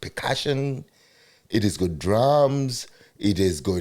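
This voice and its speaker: A man with a dark, mellow tone speaks with very wide pitch swings. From Zimbabwe. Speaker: podcast host. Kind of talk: casual interview.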